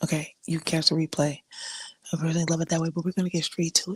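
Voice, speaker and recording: A woman with a fairly low pitch speaks at a very fast pace in a monotone, flat intonation. Her voice is somewhat breathy, with a dry, close sound and no echo. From Africa. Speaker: podcast host. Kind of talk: casual chat. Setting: live stream. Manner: casual, halting.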